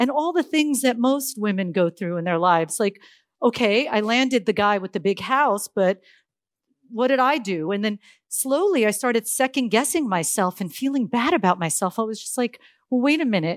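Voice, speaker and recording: A woman with an American accent and a plain, everyday voice speaks at a fairly high pitch and a moderate pace with lively intonation, the sound dry and close with no echo on a very clean recording with a silent background. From US, Silicon Valley, California. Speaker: tech entrepreneur. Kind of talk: conference talk.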